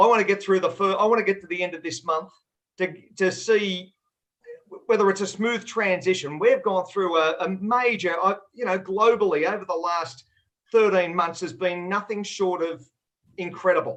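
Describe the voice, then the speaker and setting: Here a man speaks at a high pitch and a moderate pace. His intonation stays fairly even. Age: 60s. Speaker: trader and company executive. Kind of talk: panel discussion. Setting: video call.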